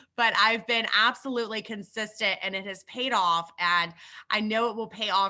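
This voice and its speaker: Speaking at a moderate pace, a woman sounds animated, her pitch varying in an ordinary way. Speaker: network marketing leader. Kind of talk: live business training.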